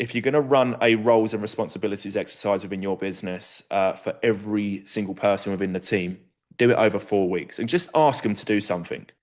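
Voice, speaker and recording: Against a quiet background, a man speaks at a fairly low pitch and a fairly quick pace. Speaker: recruitment consultant presenting a webinar. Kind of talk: webinar presentation. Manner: fast.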